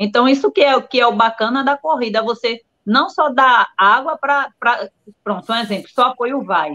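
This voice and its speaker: A woman's fairly high voice, an unremarkable speaking voice, lively in intonation and moderate in pace. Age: 40s. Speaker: ultramarathon runner. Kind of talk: casual live-stream interview.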